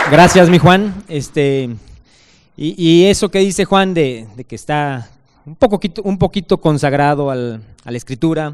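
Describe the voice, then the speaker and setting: Speaking fairly slowly with a Mexican accent, a man uses a fairly high pitch, lively intonation and big swings in loudness. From Mexico. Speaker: author presenting his book; book author on a panel. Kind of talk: speaker introduction; panel talk at a book presentation. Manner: halting. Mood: warm, friendly praise. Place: stage. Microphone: handheld.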